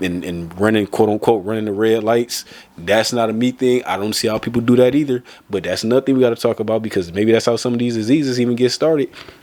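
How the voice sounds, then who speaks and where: A man talks very fast with an American accent, his tone animated and his pitch in the medium range. Pitch variation is ordinary, and background noise is noticeable. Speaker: vlogger. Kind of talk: casual monologue. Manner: halting, repeats words.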